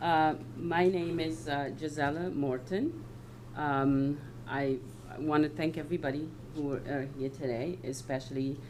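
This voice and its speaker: Speaking at a fairly slow pace with fairly even intonation, a woman with a very deep, low pitch is heard against audible room echo. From West Africa. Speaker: local election candidate. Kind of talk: candidate statement at public forum. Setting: town hall meeting with audience. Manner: hesitant, many fillers.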